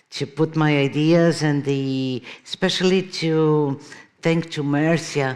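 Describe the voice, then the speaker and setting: Speaking very slowly with a Brazilian Portuguese accent, a woman keeps a very deep, low pitch and a monotone, flat intonation. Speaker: keynote speaker, artist and professor. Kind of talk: conference keynote lecture. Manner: hesitant, with frequent fillers.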